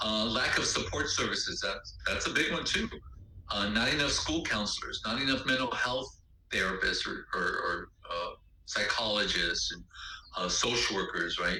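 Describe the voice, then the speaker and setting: Audible room echo and noticeable background noise around a man speaking. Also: moderate pace. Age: 60s. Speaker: lecturer / instructor. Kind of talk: lecture. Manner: halting, many fillers.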